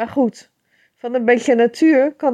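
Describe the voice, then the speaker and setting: Dry, close sound with no echo and a quiet background. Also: woman. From Netherlands, Rotterdam area. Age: 50s. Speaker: poet. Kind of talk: casual talk.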